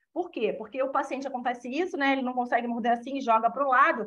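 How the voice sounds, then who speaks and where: A woman speaks in a high pitch. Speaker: orthodontist giving a talk. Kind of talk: lecture. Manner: fast.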